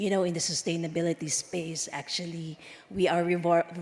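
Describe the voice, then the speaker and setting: Here a woman speaks at a fairly low pitch. Her intonation is monotone and flat. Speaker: conference speaker from a standards organization. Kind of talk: conference speech. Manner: halting, many fillers.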